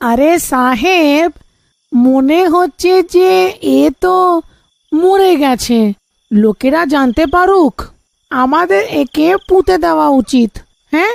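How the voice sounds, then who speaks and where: A woman does a high-pitched, cartoonish character voice with very wide pitch swings and very even loudness. She goes at a very slow pace, and the sound is dry and close with no echo. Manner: flattering, sniggering.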